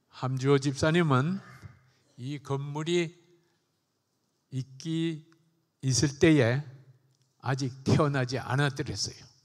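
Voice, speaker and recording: Against a quiet background, a man talks very slowly, pausing long and often. His intonation is fairly even. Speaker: church elder. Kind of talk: congratulatory speech. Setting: church. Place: church. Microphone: handheld.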